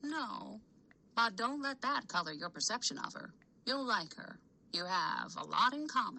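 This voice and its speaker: A female-sounding voice, fairly high in pitch, puts on a character voice at a moderate pace. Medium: read story. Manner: warm, affectionate.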